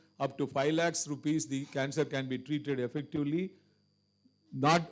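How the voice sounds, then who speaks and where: A man speaks with an Indian accent at a moderate pace. His intonation stays fairly even. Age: 60s. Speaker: cancer surgeon and guest speaker. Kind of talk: Q&A answer at a medical seminar.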